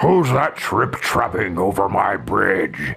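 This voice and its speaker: A man uses a put-on character voice that is raspy and rumbling, with a fairly low pitch and a fairly slow pace, while faint music plays in the background. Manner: menacing, gruff.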